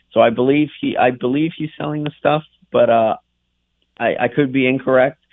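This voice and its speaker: Speaking at a moderate pace with a New England accent, a man uses a fairly high pitch and monotone, flat intonation. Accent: New England American. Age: 20s. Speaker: racing driver. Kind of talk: radio interview. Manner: halting.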